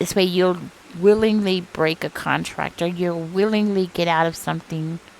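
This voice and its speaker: Amid noticeable background noise, a woman with a fairly low voice speaks in a monotone, flat way. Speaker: tarot reader. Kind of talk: tarot reading. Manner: casual, hesitant with fillers.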